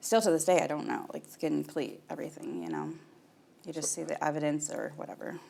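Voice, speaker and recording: With an American accent, a woman talks at a very fast pace, her loudness swinging widely. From Michigan, USA. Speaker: mother of incarcerated son. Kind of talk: interview answer.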